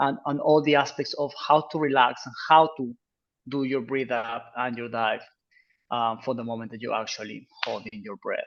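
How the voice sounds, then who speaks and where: Spoken at a moderate pace in a Peruvian accent, the voice keeps fairly even intonation but shows big swings in loudness. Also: man. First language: Spanish. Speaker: freediving instructor. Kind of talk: informational Q&A presentation.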